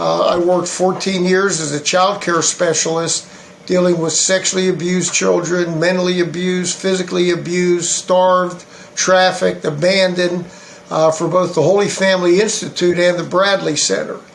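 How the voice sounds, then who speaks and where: A man with an American accent, high in pitch, monotone and flat in intonation, at a moderate pace, amid noticeable background noise and audible room echo. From western Pennsylvania. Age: 60s. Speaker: political candidate. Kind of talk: interview. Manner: halting, many fillers.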